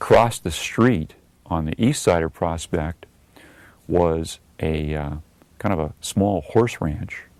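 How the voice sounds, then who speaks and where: In a very clean recording with a silent background, the speech goes at a very slow pace with ordinary pitch variation. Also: man. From Southern California, Redondo Beach. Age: 60s. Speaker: local resident interviewee. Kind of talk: oral history interview. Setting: recorded video interview. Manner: hesitant, many fillers.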